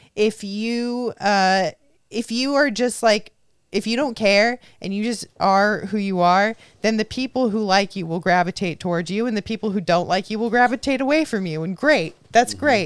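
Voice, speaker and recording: A woman with an American accent speaks at a medium pitch and a moderate pace. The recording is very clean, with a silent background. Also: ordinary pitch variation. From Southern California (Orange County). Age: 20s. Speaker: podcast host, comedian. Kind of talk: casual chat.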